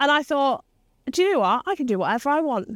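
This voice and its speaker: A woman with an English Midlands accent and lively intonation, in a dry, close sound with no echo and a very clean recording over a silent background. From English Midlands, Leicester. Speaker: business mentor and CEO. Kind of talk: interview conversation. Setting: rooftop location.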